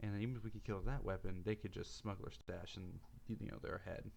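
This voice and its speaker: Soft-spoken and fairly low-pitched, a man talks at a fairly quick pace with ordinary pitch variation. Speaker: card game streamer. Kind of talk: gameplay commentary. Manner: soft-spoken, speaking quietly.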